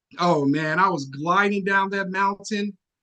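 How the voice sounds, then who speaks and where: A raised, projected voice carries a bright, sharp, animated tone at a fairly slow pace with ordinary pitch variation. The sound is dry and close, with no echo. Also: man. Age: 40s. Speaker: public speaking club member. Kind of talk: prepared speech.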